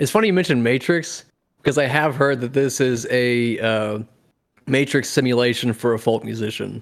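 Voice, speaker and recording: This man talks moderately fast with an ordinary speaking voice and ordinary pitch variation. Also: medium pitch for a man. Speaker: podcast co-host. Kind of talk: casual chat.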